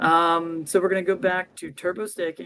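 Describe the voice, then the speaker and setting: The speaker is a man. His voice sits high in pitch. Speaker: crypto DeFi guest explaining strategies. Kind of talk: livestream tutorial walkthrough. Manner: fast.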